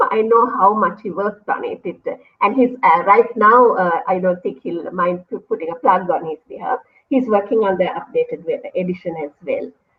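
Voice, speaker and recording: With a Sri Lankan accent, a woman speaks in a fairly high voice. Her pitch varies in an ordinary way. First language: Sinhala. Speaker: university lecturer. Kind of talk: interview. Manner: fast.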